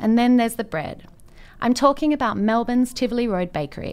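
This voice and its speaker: A woman has a normal speaking voice, pitched fairly high and moving at a fairly quick pace. The recording is very clean, with a silent background. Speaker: radio host. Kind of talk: radio show hosting.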